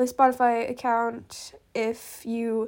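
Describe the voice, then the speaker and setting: In a very clean recording with a silent background, a woman speaks in a high pitch. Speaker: podcast host running a cover art contest. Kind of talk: casual chat. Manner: hesitant, many fillers.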